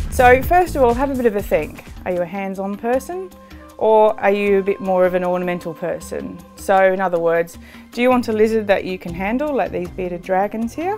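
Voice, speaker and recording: Faint music plays in the background as a woman speaks at a fairly quick pace. Her pitch is medium with ordinary variation. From Australia. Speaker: zoologist and wildlife TV presenter. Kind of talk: TV presenter showreel narration. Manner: enthusiastic, passionate. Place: home room.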